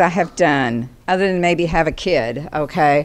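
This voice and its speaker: Lively intonation marks a woman's speech at a moderate pace. Noticeable background noise can be heard. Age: old. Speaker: retired community volunteer, award recipient. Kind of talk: acceptance speech. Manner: loud.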